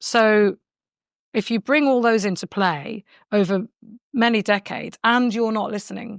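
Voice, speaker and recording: With a British accent and a fairly high pitch, a woman speaks in a dry, close sound with no echo. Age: 60s. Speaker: long covid patient. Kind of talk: personal testimony.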